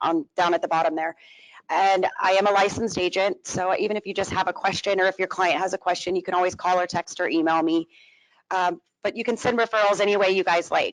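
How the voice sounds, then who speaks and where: A woman at a very fast pace, with fairly even intonation and a dry, close sound with no echo. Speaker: insurance agent. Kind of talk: sponsor presentation.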